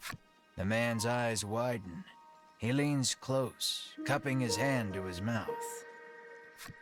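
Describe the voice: Heard on this clip is plain reading aloud.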